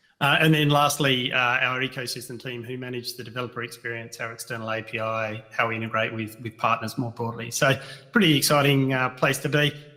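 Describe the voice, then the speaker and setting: A man speaks at medium pitch and a fairly quick pace. His intonation stays fairly even over noticeable background noise. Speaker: technology executive. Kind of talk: panel self-introduction. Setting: video call into live event. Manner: loud.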